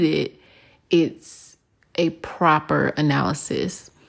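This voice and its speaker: In a very clean recording with a silent background, a woman speaks in a calm, relaxed tone. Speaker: podcast host and forecaster/coach. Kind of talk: casual monologue.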